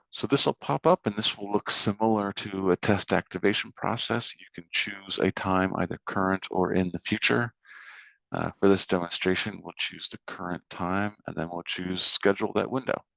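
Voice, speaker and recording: A plain, everyday voice from a man at a fairly low pitch and moderate pace, with fairly even intonation and big swings in loudness, in a dry, close sound with no echo over a quiet background. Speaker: software trainer. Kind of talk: software tutorial walkthrough.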